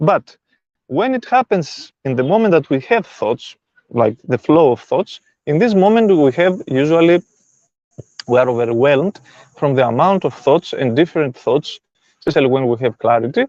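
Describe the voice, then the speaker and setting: A man with a non-native accent, fairly high in pitch, with very wide pitch swings, a moderate pace, long, frequent pauses and a dry, close sound with no echo. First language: not English. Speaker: spiritual self-help teacher. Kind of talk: live stream talk. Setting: live stream.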